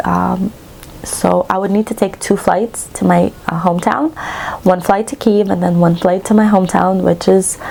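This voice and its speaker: Noticeable background noise is present. Over it, a woman speaks at a moderate pace. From western Ukraine. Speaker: cross-stitch vlogger. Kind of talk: casual chat.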